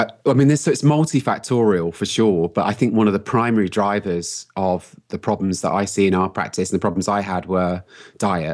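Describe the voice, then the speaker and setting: A man with a London accent speaks at fairly low pitch with ordinary pitch variation and hardly any pauses. The recording is very clean, with a silent background. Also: moderate pace. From London, England. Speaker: health coach and entrepreneur. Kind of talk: interview. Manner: casual, laughs often.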